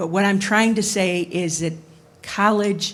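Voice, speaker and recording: A woman's somewhat breathy voice, fairly slow and fairly even in intonation, with audible room echo. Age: 60s. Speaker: audience member, hospital information security worker. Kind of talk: audience comment at panel Q&A.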